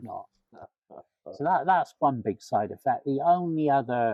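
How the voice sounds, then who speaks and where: A man talks in an ordinary speaking voice at a fairly slow pace. His pitch varies in an ordinary way. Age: 60s. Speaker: cancer patient undergoing chemotherapy. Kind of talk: interview answer.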